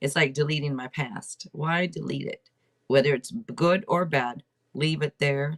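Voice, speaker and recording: A woman with an American accent, her pitch very deep and low, with ordinary pitch variation and a dry, close sound with no echo. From Seattle, Washington. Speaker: tarot reader and podcast host. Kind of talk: casual livestream chat. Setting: livestream at home. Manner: loud; chatty, rambling with fillers.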